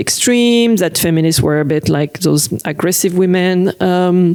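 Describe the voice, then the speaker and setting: With a French accent, a woman talks at a moderate pace over noticeable background noise. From France. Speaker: cartoonist. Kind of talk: interview. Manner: hesitant, many fillers.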